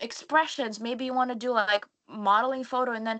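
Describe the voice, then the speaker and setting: A woman with a high pitch and a non-native accent talks at a fairly quick pace against a quiet background. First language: not English. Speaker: model and content creator. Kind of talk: live webinar panel talk. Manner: halting, many restarts and stutters.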